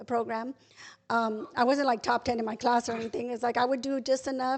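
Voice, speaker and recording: A woman's high-pitched voice with fairly even intonation over a quiet background. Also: fairly quick pace. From Texas, San Antonio area. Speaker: guest sharing faith testimony. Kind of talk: testimony. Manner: fast.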